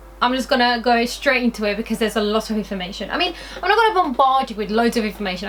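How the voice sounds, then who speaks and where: A woman's voice amid noticeable background noise. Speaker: beauty vlogger. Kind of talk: product review vlog. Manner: casual, hesitant with fillers.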